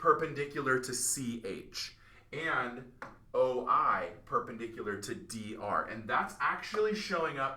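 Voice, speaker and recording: A man with a bright, sharp tone speaks at a medium pitch and a fairly slow pace. His intonation is lively, and room echo is audible. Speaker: math teacher. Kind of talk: tutorial. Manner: casual.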